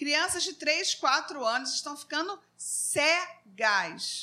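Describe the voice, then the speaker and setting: A woman's raised, projected voice at a very slow pace, with lively intonation and a bright, sharp tone. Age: 50s. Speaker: psychologist and Sunday school teacher. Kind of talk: Bible class discussion. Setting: live stream.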